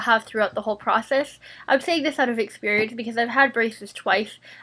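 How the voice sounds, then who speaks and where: A woman's high-pitched voice with a bright, sharp tone comes through in a very clean recording with a silent background. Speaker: vlogger with braces and jaw problems. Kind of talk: casual Q&A vlog. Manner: casual, many fillers (um, like).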